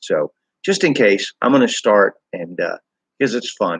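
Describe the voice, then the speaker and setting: A man speaks at a fairly slow pace. The sound is dry and close, with no echo. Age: 60s. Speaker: amateur author reading own fiction. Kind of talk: reading aloud; casual introduction. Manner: halting with fillers.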